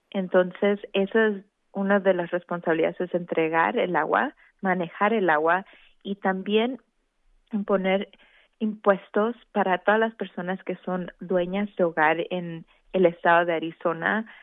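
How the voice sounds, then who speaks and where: In a plain, everyday voice, a woman speaks at medium pitch and a fairly slow pace with fairly even intonation. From Mexico, Veracruz and Mexico City. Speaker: elected water board member. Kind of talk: radio interview.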